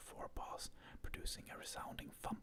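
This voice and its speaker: Moderately paced whispering from a man. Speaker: ASMR content creator. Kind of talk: ASMR script reading of a movie. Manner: whispered, soft-spoken.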